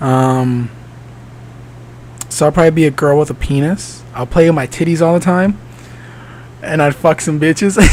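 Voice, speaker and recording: A man speaks with long, frequent pauses. There is noticeable background noise. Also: ordinary pitch variation, moderate pace. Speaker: podcast host and actor. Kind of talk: casual solo podcast chat. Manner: hesitant, many fillers.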